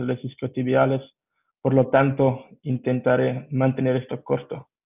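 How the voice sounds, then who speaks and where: With a non-native accent, the speaker keeps to a moderate pace. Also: man. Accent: foreign accent in Spanish. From Belgium. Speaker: strength and rehabilitation coach. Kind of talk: lecture. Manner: halting, with fillers.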